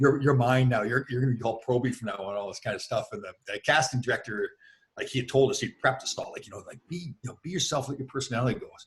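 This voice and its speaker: With a Canadian accent, a man talks very fast at a medium pitch, somewhat breathy, his loudness swinging widely. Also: ordinary pitch variation. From Canada. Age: 60s. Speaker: former hockey player. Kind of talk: interview. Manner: animated.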